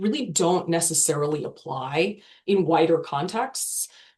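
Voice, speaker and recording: A woman with an American accent speaks at a moderate pace, somewhat breathy, with ordinary pitch variation. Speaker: legal tech product marketer. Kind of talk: webinar panel discussion.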